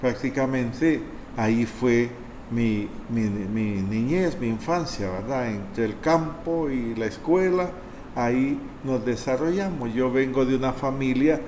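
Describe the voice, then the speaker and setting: Over noticeable background noise and audible room echo, a man at a medium pitch speaks very slowly with ordinary pitch variation. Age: 60s. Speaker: priest. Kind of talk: testimony.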